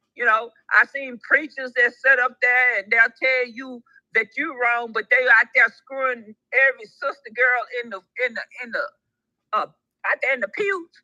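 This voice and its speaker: A woman with a high voice speaks in an animated tone, taking long, frequent pauses, with ordinary pitch variation and big swings in loudness. The sound is dry and close with no echo, and music plays in the background. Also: moderate pace. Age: 60s. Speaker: livestream co-host caller. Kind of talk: casual chat. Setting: live stream voice chat.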